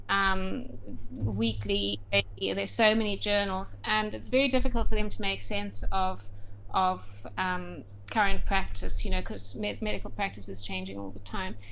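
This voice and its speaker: A woman speaks at a moderate pace, with audible echo in the room. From South Africa, Durban. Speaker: medical doctor and researcher. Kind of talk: interview. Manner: halting, many fillers.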